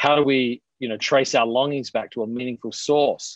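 In an Australian accent, a man at medium pitch speaks in a dry, close sound with no echo. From Australia, Adelaide. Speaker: pastor and author. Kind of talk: casual interview.

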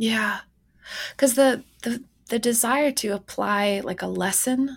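An ordinary speaking voice from a woman, at a moderate pace with ordinary pitch variation, in a very clean recording with a silent background. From Canada. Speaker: professor and author. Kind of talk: interview.

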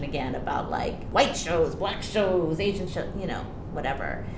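Room echo is audible and background noise noticeable as a woman speaks at a fairly quick pace. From Hawaii, Honolulu. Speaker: Broadway actress. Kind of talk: casual chat.

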